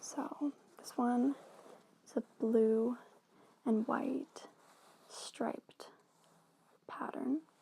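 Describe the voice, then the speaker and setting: Soft-spoken delivery at a very slow pace, broken by long, frequent pauses. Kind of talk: ASMR role-play as a tailor showing fabric swatches to a customer. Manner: soft-spoken, friendly.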